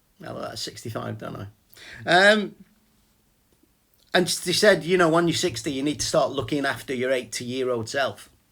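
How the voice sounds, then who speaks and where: A man with vocal fry speaks at a moderate pace with lively intonation, big swings in loudness, and long, frequent pauses. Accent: English. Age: 50s. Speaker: vlogger and small business owner. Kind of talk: casual chat. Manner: rambling, halting with repetitions.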